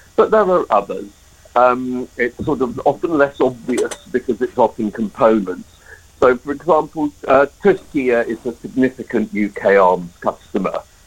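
This man's voice sits at a medium pitch. Lively intonation runs through his speech. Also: moderate pace. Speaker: anti-arms-trade campaigner. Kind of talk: radio interview. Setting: phone or remote call. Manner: halting, repeats words.

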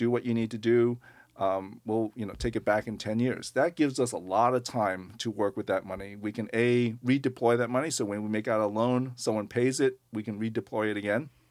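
A man with an unremarkable speaking voice and an American accent talks at medium pitch and a fairly quick pace with hardly any pauses and fairly even intonation, on a very clean recording with a silent background. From US Northeast, Long Island, New York. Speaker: nonprofit lending executive director. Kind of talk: radio interview.

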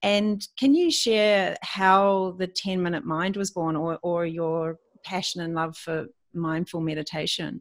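A woman with a plain, everyday voice speaks at a fairly slow pace, her pitch fairly low with ordinary variation. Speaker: podcast host and retreat leader. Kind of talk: interview chat.

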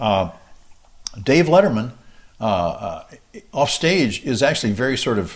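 Very wide pitch swings mark a man's medium-pitched voice as he speaks at a very slow pace with an American accent. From US South, South Mississippi. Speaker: trombonist and studio musician. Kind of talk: interview.

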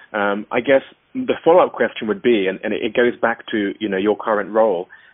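A man with a normal speaking voice and a medium pitch moves at a fairly quick pace, showing ordinary pitch variation. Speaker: podcast host. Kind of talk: interview, professional conversation.

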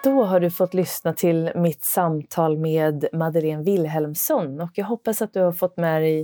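A dark, mellow tone with ordinary pitch variation, dry and close with no echo, on a very clean recording with a silent background. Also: woman. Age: 40s. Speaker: podcast host, former golf pro. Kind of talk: casual interview chat; scripted podcast outro. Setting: basement yoga studio.

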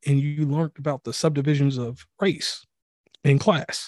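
With a Southern US accent, a man talks at a fairly high pitch with fairly even intonation. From US South. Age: 30s. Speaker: podcast host. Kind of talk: casual chat. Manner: enunciates carefully.

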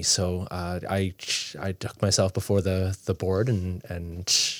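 A man with an Ontario accent and a fairly low pitch, on a very clean recording with a silent background. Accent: Canadian (Ontario). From Toronto, Canada. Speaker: youth pastor. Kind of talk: interview. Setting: studio. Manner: halting, many fillers and repeats.

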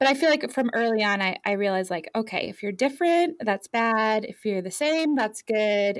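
A woman's fairly high-pitched, normal speaking voice with an American accent and lively intonation, on a very clean recording with a silent background. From Europe (France, Ireland, Germany), American family. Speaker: tattoo artist and shop owner. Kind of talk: interview.

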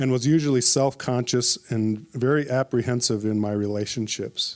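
Here a man speaks with an American accent at a moderate pace. His pitch is medium and his intonation fairly even. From Minnesota (Minneapolis). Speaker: church member giving testimony. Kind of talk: testimony.

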